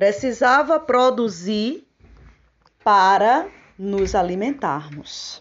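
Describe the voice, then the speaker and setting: A woman's lively intonation at a very slow pace. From Paraíba, northeastern Brazil. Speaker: teacher. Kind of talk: personal testimony. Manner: formal.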